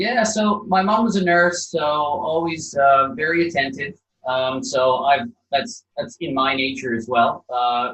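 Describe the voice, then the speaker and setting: A man with a slight Canadian accent speaks at a fairly slow pace, his high pitch moving in very wide swings. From Canada, Calgary, Alberta. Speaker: property developer. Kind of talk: interview.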